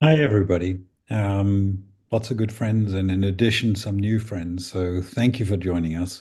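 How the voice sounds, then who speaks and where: A man with a South African accent speaks at a moderate pace in a fairly low, somewhat breathy voice with a dark, mellow tone. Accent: Afrikaans-accented English. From South Africa, Northern Cape farm. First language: Afrikaans. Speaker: speaker at advocacy meeting. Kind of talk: talk to online meeting. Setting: video call.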